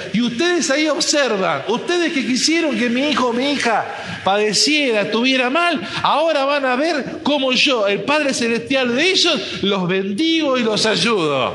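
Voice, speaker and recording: A man with an extremely high pitch speaks in a raised, projected voice at a moderate pace, with an animated tone, lively intonation and very even loudness, over noticeable background noise and audible room echo. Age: 50s. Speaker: pastor. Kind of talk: sermon.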